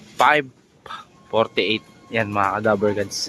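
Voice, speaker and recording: A man at a fairly slow pace over music in the background. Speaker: pigeon hobbyist vlogger. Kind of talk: casual vlog narration. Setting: outdoors. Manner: animated; loud.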